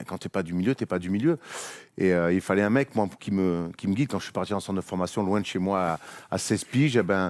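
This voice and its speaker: A man with a Marseille accent speaks very fast in a very deep, low voice with ordinary pitch variation, recorded very cleanly against a silent background with a dry, close sound and no echo. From Marseille, southern France. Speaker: basketball media host, former player. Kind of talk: casual chat.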